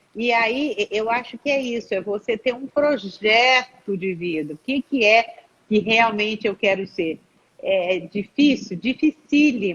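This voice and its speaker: A woman speaks at a fairly slow pace with a fairly high pitch and a lively intonation. She has an ordinary speaking voice. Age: 60s. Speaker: psychologist. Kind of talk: live stream talk.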